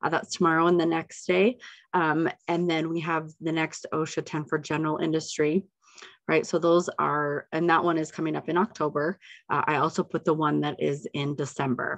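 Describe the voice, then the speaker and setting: Over a quiet background, a woman with a very deep, low pitch talks at a moderate pace with fairly even intonation. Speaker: council staff member giving updates and wrap-up; council staff member giving updates. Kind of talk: webinar presentation. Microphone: video call.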